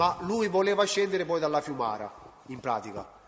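Noticeable background noise runs under a man speaking at a fairly quick pace with lively intonation. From Reggio Calabria, southern Italy. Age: 40s. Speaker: witness, state informant. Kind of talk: court testimony. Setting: courtroom. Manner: halting.

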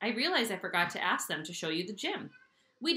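The voice reading here is unforced.

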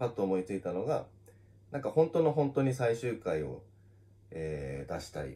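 Talking very fast, a man with a fairly low pitch and a dark, mellow tone makes very wide pitch swings. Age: 30s. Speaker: manga artist. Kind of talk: casual solo talk on social audio. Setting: live audio stream on social media. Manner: casual, with many fillers. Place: office.

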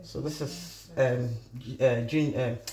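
With audible room echo, a woman speaks slowly at an extremely low pitch, her tone dark and mellow and her intonation fairly even.

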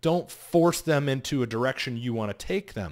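In quiet surroundings, a man talks fairly slowly, his intonation lively. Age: 40s. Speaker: vlogger and sales coach; sales coach vlogger. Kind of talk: casual monologue to camera. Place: home room. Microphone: studio mic.

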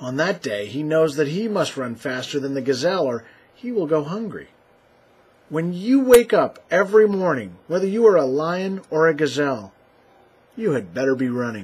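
Speaking at a moderate pace, a man with a fairly high voice makes very wide pitch swings. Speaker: musician guest reader. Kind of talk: reading aloud a short inspirational poem, then a tongue-in-cheek mortgage sales pitch.

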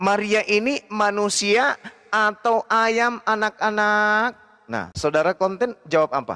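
At a very slow pace, a man projects a raised voice with a high pitch and a bright, sharp tone over a quiet background. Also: ordinary pitch variation. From Indonesia. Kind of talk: religious debate. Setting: livestream video call. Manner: animated. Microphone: video call.

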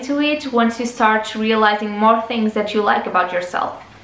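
A woman's fairly high voice with fairly even intonation, moderate pace and audible room echo. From Portugal. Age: 20s. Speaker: lifestyle YouTuber. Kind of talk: casual advice talk to camera. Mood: warm, encouraging. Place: home room.

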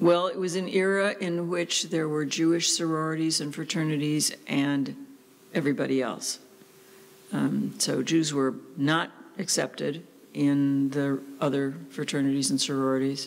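The speaker goes at a fairly slow pace. Pitch varies in an ordinary way. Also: woman, very deep, low pitch for a woman. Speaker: interviewee. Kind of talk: interview answer. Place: office. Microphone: studio mic.

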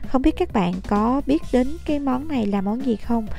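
A woman talks at a fairly slow pace with ordinary pitch variation. The sound is dry with no echo, and faint music plays in the background. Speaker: food travel vlogger. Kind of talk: casual vlog chat. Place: street. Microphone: phone near.

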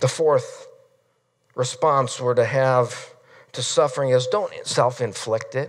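A man speaks very slowly in an American accent, with long, frequent pauses. The background is quiet. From Nebraska, US Midwest. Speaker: pastor. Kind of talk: sermon. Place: church.

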